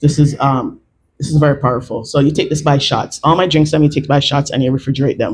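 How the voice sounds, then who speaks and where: A man speaks at a very fast pace in a fairly high, somewhat breathy voice. His intonation is monotone and flat. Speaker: clinical herbalist presenting products. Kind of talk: product talk to a live audience. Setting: live event with audience, mic available.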